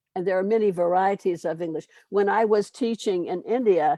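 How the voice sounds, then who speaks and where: Her voice has a dark, mellow tone at a medium pitch, with an American accent and ordinary pitch variation. The sound is dry and close with no echo. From US South, Louisiana. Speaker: English teacher, webinar presenter. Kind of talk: webinar Q&A answer. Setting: online webinar. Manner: fast.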